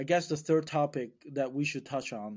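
A man with a Mandarin accent at a fairly slow pace, ordinary pitch variation, very clean recording, silent background. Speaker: podcast host, real estate investor. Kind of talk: casual chat.

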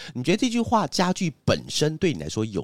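A man talking at a fairly quick pace with very wide pitch swings, dry and close with no echo, on a very clean recording with a silent background. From Taiwan, Hsinchu (Zhudong). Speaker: podcast host, advertising agency boss. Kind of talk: casual chat.

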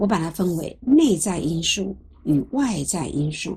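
A somewhat breathy woman's voice with very wide pitch swings. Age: 60s. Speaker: lecturer on psychology of aging. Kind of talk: lecture. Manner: conversational, with frequent filler sounds.

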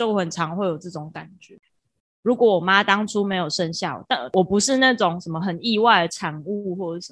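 A woman with an ordinary speaking voice, medium pitch and ordinary pitch variation, at a fairly quick pace against a quiet background. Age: 20s. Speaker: podcast co-host. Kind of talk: casual chat.

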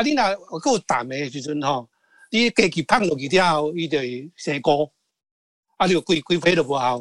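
Speaking at a moderate pace, a man uses a normal speaking voice pitched fairly high. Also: lively intonation. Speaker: songwriter. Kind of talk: interview. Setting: video call.

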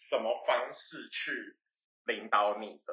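This man talks at a very slow pace. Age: 20s. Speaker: interior designer podcast co-host. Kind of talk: casual chat.

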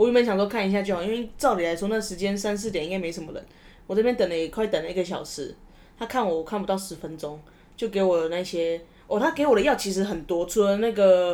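Talking at a very fast pace, a woman has a dark, mellow tone, a medium pitch and ordinary pitch variation. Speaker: podcast host. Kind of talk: casual chat.

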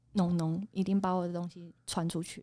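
Recorded very cleanly against a silent background, a woman talks at a moderate pace in a dark, mellow tone. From Taiwan, Taipei. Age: 30s. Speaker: night market food stall owner. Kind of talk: casual interview.

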